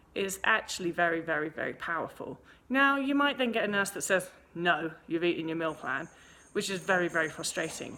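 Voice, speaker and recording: A woman with an English accent speaks in a fairly low pitch with a bright, sharp tone. Her intonation is lively and her pace fairly quick. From England. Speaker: eating disorder recovery coach. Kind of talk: answering viewer email, advice monologue. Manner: casual, with frequent false starts and self-corrections.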